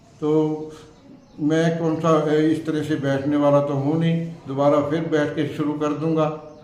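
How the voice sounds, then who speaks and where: A man's fairly high voice, monotone and flat, with audible room echo and noticeable background noise. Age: 70s. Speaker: religious storyteller. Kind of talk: interview. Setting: temple. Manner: halting.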